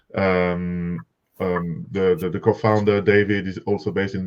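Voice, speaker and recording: Intonation stays fairly even in this speaker's strong French accent. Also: man. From France, Paris. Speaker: software company representative. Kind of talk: webinar presentation. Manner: halting, many fillers and repetitions.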